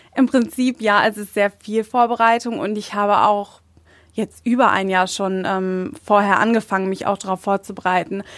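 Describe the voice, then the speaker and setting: Delivery comes at a moderate tempo. It is a normal speaking voice. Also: woman, medium pitch for a woman, fairly even intonation. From Germany. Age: 20s. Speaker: beauty pageant winner. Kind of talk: interview.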